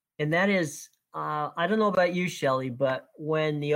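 Against a silent background in a very clean recording, a man speaks in an ordinary speaking voice at a fairly quick pace, fairly high in pitch with ordinary pitch variation. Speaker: sports podcast host. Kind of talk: casual chat.

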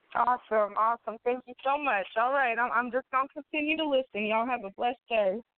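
A woman talks at a very fast pace. Her voice is high-pitched. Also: ordinary pitch variation, hardly any pauses. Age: 30s. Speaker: nurse and prisoner's daughter. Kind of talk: testimony.

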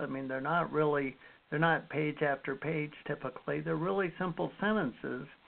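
A man with an unremarkable speaking voice talks at a fairly high pitch with ordinary pitch variation. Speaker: radio host. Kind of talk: casual interview.

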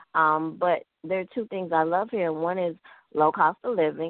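A voice with a Memphis accent speaks at a fairly slow pace. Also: woman. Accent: Southern US (Memphis). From US South, Memphis, Tennessee. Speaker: author. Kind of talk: radio interview.

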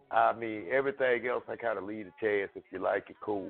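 With a normal speaking voice, a man talks at a fairly quick pace and fairly even intonation. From Chicago, then Utica, Mississippi. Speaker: rapper. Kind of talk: interview.

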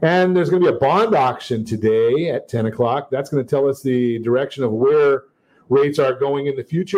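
This man's voice is fairly high in pitch. He moves at a fairly quick pace. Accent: American. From Southern California. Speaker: radio host and mortgage lender. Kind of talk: talk radio show. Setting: studio. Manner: upbeat, salesy, repeats phone number.

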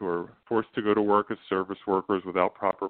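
Delivered at a middling pace, this man's fairly low voice is an unremarkable speaking voice. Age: 40s. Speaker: state senator. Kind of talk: interview.

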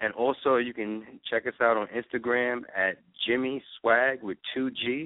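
Speaking at a fairly slow pace, a man with an American accent has a plain, everyday voice at medium pitch with fairly even intonation. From New York. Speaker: eyewear designer and business owner. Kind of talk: interview. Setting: phone call.

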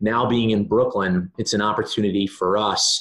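A man with a normal speaking voice talks at a moderate pace and a fairly low pitch over a quiet background. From Maryland. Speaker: sports team marketing executive. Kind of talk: podcast interview.

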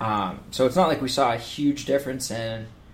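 A man is talking. He keeps a moderate pace. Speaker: sports podcast host. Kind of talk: casual sports podcast chat.

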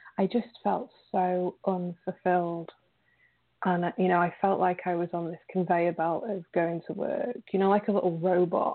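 A flat, monotone delivery in a British accent at a moderate pace. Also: woman, medium pitch for a woman. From England. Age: 30s. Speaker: recovery advocate and writer. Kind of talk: interview. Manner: halting.

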